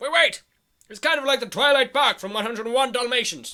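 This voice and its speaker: A man's put-on character voice, pompous in tone, extremely high-pitched, raised and projected, at a very fast pace. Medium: audio drama. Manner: pompous, bluffing.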